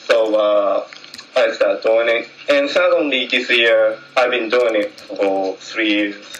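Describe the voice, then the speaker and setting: Someone with a Japanese accent speaks at a fairly slow pace, with noticeable background noise and audible room echo. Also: man. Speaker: jazz trumpet player. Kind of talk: public meeting speech. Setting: community meeting hall. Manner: halting.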